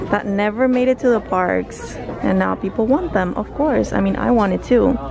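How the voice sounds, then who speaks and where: Over clear background music, the fairly slow speech sounds dry, with no echo. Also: woman. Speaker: shopping vlogger. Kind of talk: casual vlog chat. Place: shop. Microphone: phone near.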